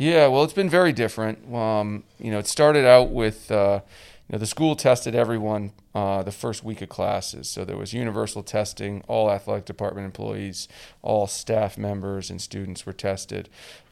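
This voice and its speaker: In a plain, everyday voice with a Canadian accent, a man speaks at a moderate pace and fairly low pitch, with ordinary pitch variation and big swings in loudness, on a very clean recording with a silent background. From Canada. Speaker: college lacrosse head coach. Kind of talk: podcast interview.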